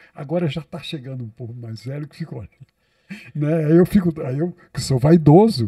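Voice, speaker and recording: A man's fairly high, somewhat breathy voice, dark and mellow in tone, at a moderate pace with big swings in loudness and a dry, close sound with no echo. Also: ordinary pitch variation. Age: 70s. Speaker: psychologist, podcast host. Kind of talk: interview conversation. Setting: podcast studio.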